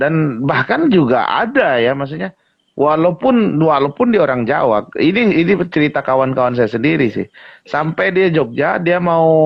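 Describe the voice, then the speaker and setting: A man's fairly high pitch with lively intonation at a moderate pace. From Indonesia, Lampung. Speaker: guest, Lampung community figure with customary title. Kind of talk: casual interview chat.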